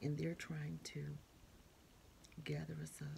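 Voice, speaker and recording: Light noise fills the background. A woman speaks fairly slowly. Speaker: preacher. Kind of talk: sermon-style talk. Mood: earnest, preaching. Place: home room. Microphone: phone near.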